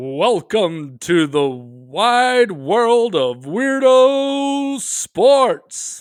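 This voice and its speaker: In a very clean recording with a silent background, a man puts on a high-pitched character voice and speaks at a very slow pace with hardly any pauses. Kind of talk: announcer. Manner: dramatic, showy announcer delivery.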